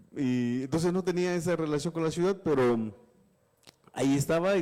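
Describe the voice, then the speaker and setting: A man's dark, mellow voice at a fairly quick pace. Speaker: journalist and author. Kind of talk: interview on live webinar. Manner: halting, many repetitions.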